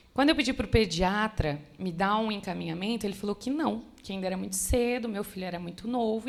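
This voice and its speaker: Using an ordinary speaking voice, a woman moves at a fairly quick pace with lively intonation. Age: 20s. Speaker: church member sharing testimony. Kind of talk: testimony. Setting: church women's conference.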